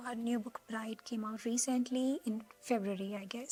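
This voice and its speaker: A woman speaks at a fairly high pitch. Noticeable background noise can be heard. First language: not English. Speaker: booktuber. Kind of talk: casual vlog talk. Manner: animated.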